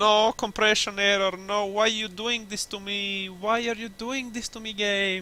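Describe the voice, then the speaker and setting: A man speaks in a raised, projected voice with a bright, sharp tone and monotone, flat intonation. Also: moderate pace. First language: not English. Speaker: gaming youtuber. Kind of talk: gameplay commentary. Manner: casual, halting with self-corrections.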